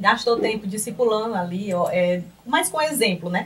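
A woman speaks in a somewhat breathy voice at a fairly slow pace. Her pitch varies in an ordinary way. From Piauí, Brazil (Piripiri). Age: 30s. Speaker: accountant and lecturer.

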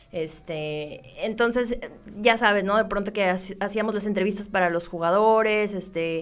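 A woman's ordinary speaking voice at a medium pitch, with a moderate pace and fairly even intonation. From Mexico, Sonora (Ciudad Obregón). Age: 20s. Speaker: sports journalist and TV presenter. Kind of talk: interview.

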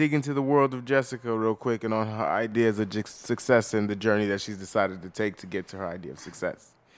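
This man speaks at a very fast pace with hardly any pauses, his pitch fairly low and its variation ordinary. His tone is animated, and his loudness swings widely. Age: 20s. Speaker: podcast host. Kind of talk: casual chat.

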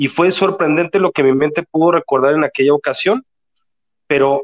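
A man talks at a moderate pace in an unremarkable speaking voice, pitched fairly high with ordinary pitch variation. The sound is dry and close, with no echo. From Mexico City. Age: 40s. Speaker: regression therapist. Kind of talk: interview.

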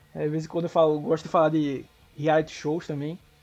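Music plays behind a man who talks at a very fast pace. His voice sits fairly high. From São Paulo (Zona Leste). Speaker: American football blogger. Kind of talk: casual sports chat.

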